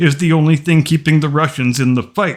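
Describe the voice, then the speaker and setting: A man with an unremarkable speaking voice talks at a fairly quick pace, his fairly high pitch held to a fairly even intonation. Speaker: history commentator. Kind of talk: history narration.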